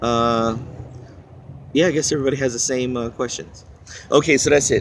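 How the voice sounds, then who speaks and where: With an American accent, a man talks at a fairly quick pace in a medium pitch and fairly even intonation. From Philippines. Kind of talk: casual talk to camera. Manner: rambling, hesitant.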